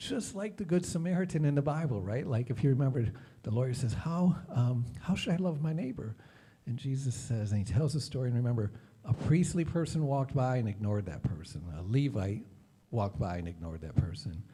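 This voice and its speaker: With an American accent, a man talks at a fairly quick pace in a dark, mellow, somewhat breathy voice of medium pitch that makes very wide pitch swings. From Detroit, US Midwest. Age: 50s. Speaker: nonprofit leader. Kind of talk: presentation.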